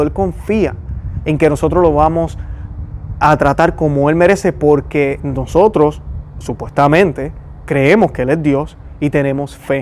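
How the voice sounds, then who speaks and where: Noticeable background noise behind a fairly high-pitched male voice. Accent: Puerto Rican. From Puerto Rico. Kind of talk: religious commentary.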